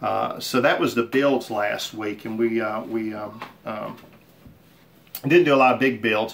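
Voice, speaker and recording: The intonation stays fairly even, broken by long, frequent pauses over noticeable background noise. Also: man, medium pitch for a man, fairly slow pace. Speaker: woodworking hobbyist and channel host. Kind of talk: casual shop update video. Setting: home workshop. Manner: halting, many fillers.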